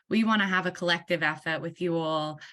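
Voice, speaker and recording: At a moderate pace, a woman speaks in a bright, sharp tone at a medium pitch with ordinary pitch variation against a quiet background. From Australia. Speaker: workshop facilitator. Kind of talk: online meeting facilitation.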